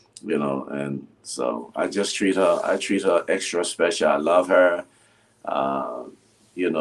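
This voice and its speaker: A man speaks with a very deep, low pitch and vocal fry. His pace is fairly slow. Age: 60s. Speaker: pastor. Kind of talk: casual interview chat.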